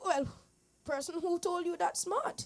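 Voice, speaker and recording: A woman puts on a character voice at an extremely high pitch, speaking at a moderate pace. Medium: stage play.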